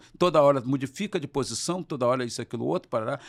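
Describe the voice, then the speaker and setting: In a very clean recording with a silent background and a dry, close sound with no echo, a man speaks with lively intonation. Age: 60s. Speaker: trade unionist and former politician. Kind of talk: interview. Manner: animated.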